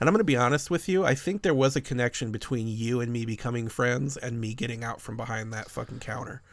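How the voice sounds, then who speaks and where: Amid noticeable background noise, a man with an American accent races along at a very fast pace with hardly any pauses, using a medium pitch and ordinary pitch variation. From suburbs of Chicago. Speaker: podcast host. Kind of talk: casual chat about movies. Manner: profane, casual.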